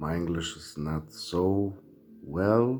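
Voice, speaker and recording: A man speaks with a German accent at a very deep, low pitch. Music plays in the background. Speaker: video essayist. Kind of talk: monologue to camera. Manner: halting.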